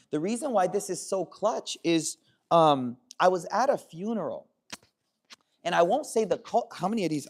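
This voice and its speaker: A loud man with a high pitch, animated tone and lively intonation. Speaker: Islamic scholar. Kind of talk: religious talk. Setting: hall with audience.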